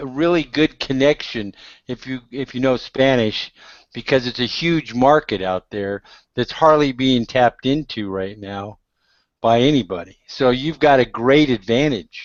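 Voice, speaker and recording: An ordinary speaking voice with ordinary pitch variation at a fairly slow pace. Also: man, medium pitch for a man. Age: 60s. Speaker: internet marketing blogger. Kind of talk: casual chat.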